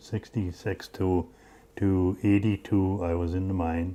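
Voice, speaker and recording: A man speaks in a very deep, low pitch with an American accent. His intonation stays monotone and flat. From northern Minnesota, Iron Range. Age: 80s+. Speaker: retired mine machinist. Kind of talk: oral history interview. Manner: halting.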